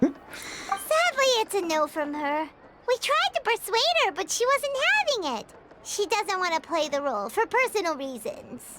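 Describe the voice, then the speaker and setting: This put-on character voice sits at an extremely high pitch, swings very widely in pitch, moves at a moderate pace, and breaks with long, frequent pauses. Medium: video game. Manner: casual, upbeat.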